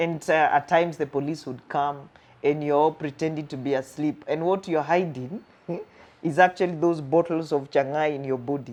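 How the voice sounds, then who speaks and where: At a moderate pace, a woman with a Kenyan accent speaks in a very deep, low voice. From Kenya, Thika slum. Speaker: counseling psychologist. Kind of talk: interview storytelling. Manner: animated.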